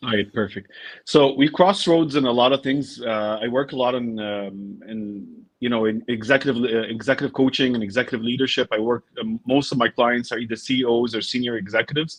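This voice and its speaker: A man with an American accent and a normal speaking voice, medium pitch, ordinary pitch variation and a fairly quick pace. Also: hardly any pauses. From United States. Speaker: business coach and podcaster. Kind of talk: interview.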